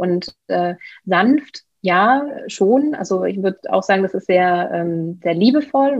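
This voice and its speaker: A woman speaks in a plain, everyday voice. Her medium pitch shows ordinary pitch variation. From Germany, Bielefeld (East Westphalia). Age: 30s. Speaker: real estate investor and coach. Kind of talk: interview.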